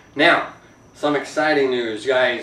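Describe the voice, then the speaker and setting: Noticeable background noise fills the recording. A man talks with audible room echo around him. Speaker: woodworking YouTuber. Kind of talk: casual vlog. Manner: hesitant, many fillers.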